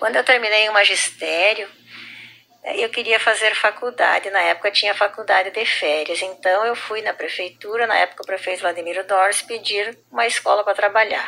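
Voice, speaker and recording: This woman has a normal speaking voice at a medium pitch. Her intonation is fairly even and her pace moderate. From southern Brazil, Rio Grande do Sul. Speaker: schoolteacher. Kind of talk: personal testimony.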